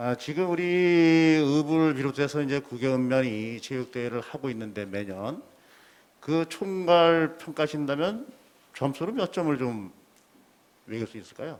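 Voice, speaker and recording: Using lively intonation, a man speaks at a fairly high pitch and a fairly slow pace. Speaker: county council member. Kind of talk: council questioning session.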